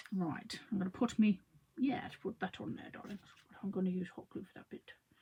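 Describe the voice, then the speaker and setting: A woman's medium-pitched voice, somewhat breathy with a dark, mellow tone, at a moderate pace. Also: long, frequent pauses, big swings in loudness. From London. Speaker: craft artist. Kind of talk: live craft tutorial. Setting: livestream. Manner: chatty, rambling.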